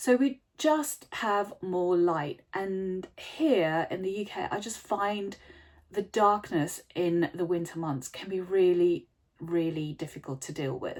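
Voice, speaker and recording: Very slowly, a woman talks with lively intonation. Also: medium pitch for a woman, big swings in loudness. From South Africa, Cape Town. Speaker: podcast host, renovation designer. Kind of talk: solo podcast talk. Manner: conversational.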